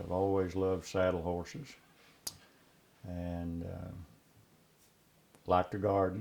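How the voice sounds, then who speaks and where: Very slowly, a man with an Appalachian accent speaks in a very deep, low voice with a dark, mellow tone. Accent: Appalachian, unchanged. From Appalachia, eastern Kentucky. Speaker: saddle maker and retired teacher. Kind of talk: interview.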